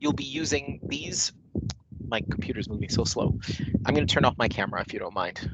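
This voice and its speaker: A man with a fairly high pitch talks at a fairly quick pace and ordinary pitch variation. Long, frequent pauses break up his speech. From Canada, Manitoba (Winnipeg). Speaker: corporate trainer. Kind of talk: online training session; casual chat. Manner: hesitant, many fillers. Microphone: echo.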